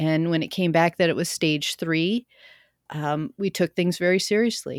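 A woman has an ordinary speaking voice with a fairly low pitch, ordinary pitch variation and a moderate pace. The recording is very clean and silent in the background, with a dry, close sound and no echo. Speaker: cancer survivor and podcaster. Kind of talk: casual interview, personal story.

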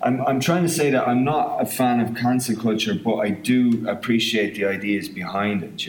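With lively intonation, a man speaks at medium pitch in an Irish midlands accent. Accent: Irish midlands, southern Irish. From County Offaly, Ireland. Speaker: film writer-director. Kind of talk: casual interview chat.

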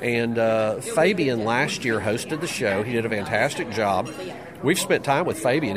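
Noticeable background noise is heard throughout. The man's intonation is lively. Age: 60s. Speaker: magician and mentalist. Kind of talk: casual interview.

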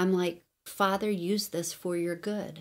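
An ordinary speaking voice from a woman at medium pitch, with ordinary pitch variation and a fairly slow pace. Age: 40s. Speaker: podcast host and Bible teacher. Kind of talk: teaching podcast monologue with prayer. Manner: casual, filler-heavy.

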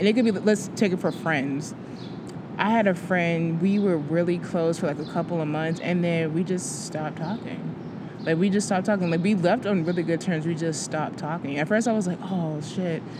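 With audible room echo and noticeable background noise, a woman talks at a moderate pace. Her pitch is fairly low and her intonation fairly even. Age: 20s. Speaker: podcast co-host. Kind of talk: casual chat.

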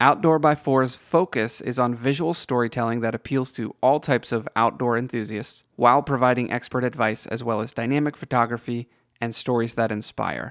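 The talk moves at a fairly quick pace with hardly any pauses, on a very clean recording with a silent background. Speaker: podcast announcer. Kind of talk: scripted sponsor read.

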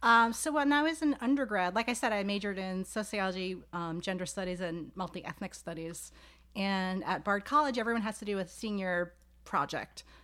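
A woman with an American accent speaks at a fairly quick pace and medium pitch, with a bright, sharp tone and lively intonation, in a very clean recording with a silent background. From New York City, Staten Island. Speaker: sociology professor. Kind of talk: casual interview. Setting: home office.

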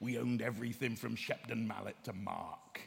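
A man does a put-on character voice with a West Country accent, medium in pitch and flat, monotone in intonation. He talks at a fairly quick pace over clear background noise.

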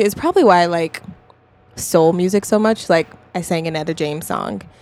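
A woman speaks fairly quickly in a normal speaking voice, fairly low in pitch with ordinary pitch variation. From US West (Colorado). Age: 20s. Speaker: singer-songwriter. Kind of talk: casual chat. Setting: studio.

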